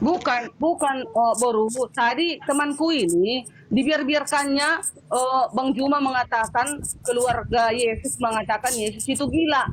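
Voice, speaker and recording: Loud and angry, a woman speaks fairly slowly in a high pitch with ordinary pitch variation, over noticeable background noise. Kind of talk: heated debate. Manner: loud, sounds angry by nature; forceful, interrupting.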